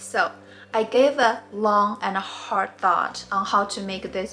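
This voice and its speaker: Over noticeable background noise, a woman talks at a fairly slow pace. She has a Mandarin accent. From China. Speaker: knitting tutor. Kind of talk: tutorial.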